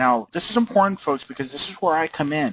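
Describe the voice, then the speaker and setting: A man speaks with lively intonation. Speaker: trading system presenter. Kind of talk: webinar sales presentation. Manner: animated.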